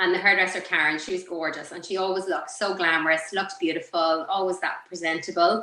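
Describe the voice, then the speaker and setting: A woman speaks with an Irish accent. Her pitch is fairly low. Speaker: beauty clinic owner and coach. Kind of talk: interview.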